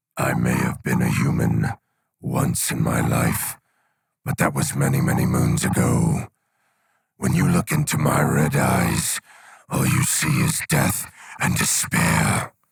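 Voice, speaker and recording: A man speaks in a put-on character voice, raspy and at a fairly slow pace, with long, frequent pauses. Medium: audio drama. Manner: menacing.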